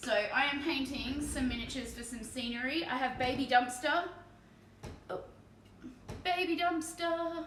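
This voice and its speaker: High-pitched female voice in an Australian accent, relaxed in tone, at a moderate pace with long, frequent pauses and ordinary pitch variation, plus audible room echo and noticeable background noise. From Australia, Victoria (Bendigo). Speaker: streamer and miniature painter. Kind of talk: casual live stream chat. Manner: relaxed, chatty.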